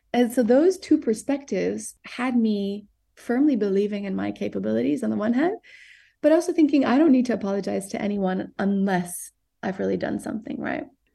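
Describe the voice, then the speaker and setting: Against a quiet background, a woman speaks at a fairly quick pace with lively intonation and a somewhat breathy, dark, mellow tone. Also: fairly high pitch for a woman. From Southern Africa and Geneva, Switzerland. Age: 30s. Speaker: tech startup founder. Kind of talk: podcast interview.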